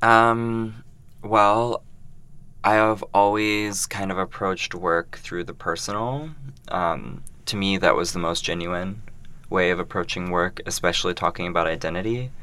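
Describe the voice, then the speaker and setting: With an American accent, a man speaks at a fairly slow pace in a fairly low pitch with a bright, sharp tone. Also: ordinary pitch variation. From US Midwest, Columbus, Ohio. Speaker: artist. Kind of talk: interview.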